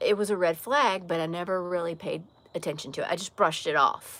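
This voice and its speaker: At a moderate pace, a woman with a slight Southern US accent speaks at a medium pitch with ordinary pitch variation. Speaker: live streamer. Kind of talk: casual chat.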